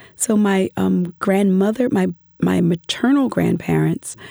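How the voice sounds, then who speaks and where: A woman with an American accent, an ordinary speaking voice, talks at a fairly slow pace with lively intonation in a dry, close sound with no echo. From US, Philadelphia. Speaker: professor. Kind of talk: interview.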